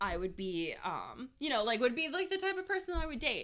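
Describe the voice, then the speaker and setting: Loud and animated, a woman's bright, sharp voice makes very wide pitch swings. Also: very clean recording, silent background. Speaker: podcast co-host. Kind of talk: casual chat.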